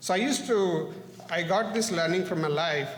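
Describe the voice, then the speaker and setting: Against noticeable background noise and audible room echo, a man speaks with a non-native accent. His pitch is high and his pace moderate. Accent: foreign. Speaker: parent giving public comment. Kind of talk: public comment at board meeting. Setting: public meeting, at podium. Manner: halting, with self-corrections.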